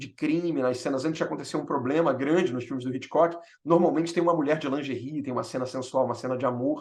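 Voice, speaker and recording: A man talks in an animated tone. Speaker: film director and storyteller.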